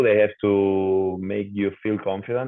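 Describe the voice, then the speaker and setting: A man with a Spanish accent and a fairly low pitch. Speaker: professional footballer. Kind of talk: interview. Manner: halting, repeats words.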